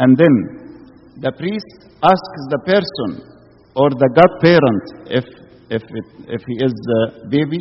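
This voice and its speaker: A man's fairly high voice, very slow in pace, with lively intonation. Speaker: Coptic priest or preacher. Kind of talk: sermon.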